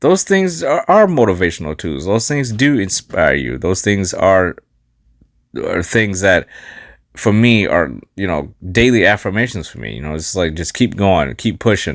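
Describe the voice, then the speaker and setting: The recording is very clean with a silent background. A man with a fairly low pitch and vocal fry talks at a moderate pace, his pitch swinging very widely. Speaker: life coach and podcast host. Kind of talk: podcast monologue.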